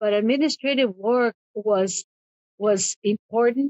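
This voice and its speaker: The speaker is a woman. Her words carry a Spanish accent. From Mexico, raised in Compton, California from 11. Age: 70s. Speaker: immigration paralegal. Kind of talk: interview. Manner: halting, with many repetitions.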